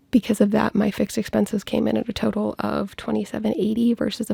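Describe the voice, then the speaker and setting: Noticeable background noise can be heard. Over it, a woman talks. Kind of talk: casual personal finance vlog talk to camera. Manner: quiet, lowered volume.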